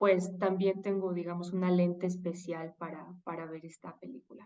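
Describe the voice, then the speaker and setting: Her voice fairly low and her tone dark and mellow, a woman speaks in a monotone, flat way. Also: moderate pace, big swings in loudness. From Mexico. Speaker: political scientist and professor. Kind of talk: interview conversation.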